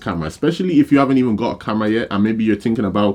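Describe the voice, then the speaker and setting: Against a quiet background, a man speaks with a fairly low voice. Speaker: photographer and camera reviewer. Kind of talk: casual video review. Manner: fast; casual, filler-heavy.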